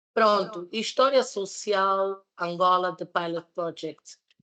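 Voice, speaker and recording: With a German accent, the speaker talks at a very slow pace and with fairly even intonation against a quiet background. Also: woman. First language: German (speaking Portuguese). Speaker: master's student and social entrepreneur presenting a project. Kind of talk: presentation at a public debate. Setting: public debate event with live audience. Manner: halting, with fillers and repetitions.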